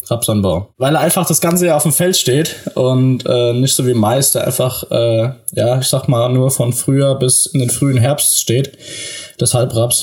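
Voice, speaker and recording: A somewhat breathy man at a fairly slow pace, medium pitch and very even loudness. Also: ordinary pitch variation. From southern Hesse, Germany. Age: 20s. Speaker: farmer's son and agriculture student. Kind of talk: podcast interview. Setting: remote call from home office. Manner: frequent fillers (äh, ähm).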